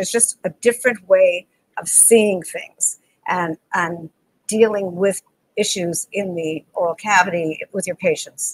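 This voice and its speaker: A woman's voice has ordinary pitch variation and a dry sound with no echo. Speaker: dentist and lecturer. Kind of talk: interview conversation. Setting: video call. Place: home room. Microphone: video call.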